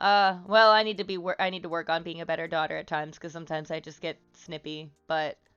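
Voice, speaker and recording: Over music in the background, a woman speaks at a fairly quick pace with a fairly low pitch and ordinary pitch variation. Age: 20s. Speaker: streamer. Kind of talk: casual chat. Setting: live stream with chat. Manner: loud; halting, many fillers.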